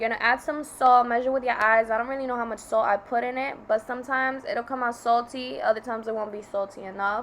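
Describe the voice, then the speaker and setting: A woman with an American accent, an unremarkable speaking voice, a fairly high pitch, ordinary pitch variation and a fairly quick pace. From New York. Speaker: student vlogger. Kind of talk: voiceover narration of cooking tutorial. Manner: casual.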